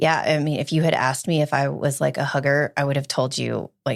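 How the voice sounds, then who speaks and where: A woman speaks at a fairly quick pace in a very deep, low voice with an American accent. Her intonation stays fairly even, with vocal fry. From Alabama, US South. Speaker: gynecologist. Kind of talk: casual chat.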